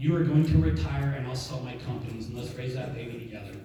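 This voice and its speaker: A man with an American accent talks at a fairly quick pace, with audible room echo. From Montana. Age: 60s. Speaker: network marketing business leader. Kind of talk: motivational talk. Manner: animated.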